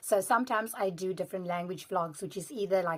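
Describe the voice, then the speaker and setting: Speaking with a South African accent, a woman talks at a very fast pace. Her pitch is medium. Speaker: language vlogger. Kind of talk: casual vlog commentary.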